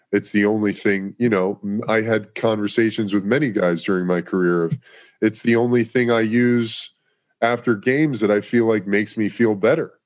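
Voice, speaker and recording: A man uses an ordinary speaking voice at a fairly low pitch and a moderate pace. His intonation is fairly even, his loudness very even, and the background quiet. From New York City then Los Angeles. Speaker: former pro football player, cannabis advocate. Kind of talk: casual interview chat.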